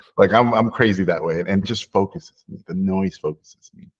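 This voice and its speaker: Over a quiet background, a man with a plain, everyday voice speaks at a fairly low pitch with ordinary pitch variation. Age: 40s. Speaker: animation filmmaker. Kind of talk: interview conversation.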